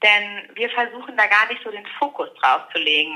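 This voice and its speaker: A woman at a fairly high pitch with very wide pitch swings. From Ruhr area, Germany. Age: 30s. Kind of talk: interview.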